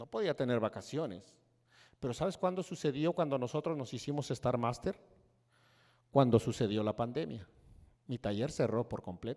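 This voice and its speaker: A man with a dark, mellow tone speaks at a moderate pace against a quiet background, leaving long, frequent pauses. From Mexico, Hidalgo. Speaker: network marketing speaker; speaker. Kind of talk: motivational speech. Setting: stage with audience. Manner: animated. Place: stage. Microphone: handheld.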